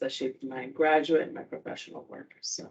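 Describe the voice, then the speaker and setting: Spoken with a Spanish accent, the delivery is flat and monotone. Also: woman. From Puerto Rico. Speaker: university student-athlete advisor. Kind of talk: informal talk to students.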